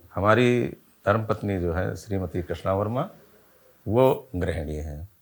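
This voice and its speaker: A man with an unremarkable speaking voice and fairly low pitch uses ordinary pitch variation. The recording is very clean, with a silent background. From Lucknow region, Uttar Pradesh, India. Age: 60s. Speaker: retired civil servant, viewer sharing health experience. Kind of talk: interview testimony. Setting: at home.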